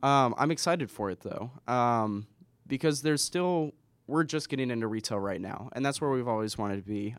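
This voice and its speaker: A man with a normal speaking voice and an American accent talks at a fairly quick pace, his pitch medium with ordinary variation. The recording is very clean, with a silent background. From Washington State, US (Spokane). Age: 20s. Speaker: entrepreneur. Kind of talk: casual interview.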